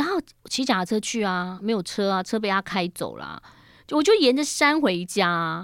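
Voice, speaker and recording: In a very clean recording with a silent background, a woman speaks at a moderate pace and medium pitch, with lively intonation and a plain, everyday voice. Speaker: radio host. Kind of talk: interview. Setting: studio.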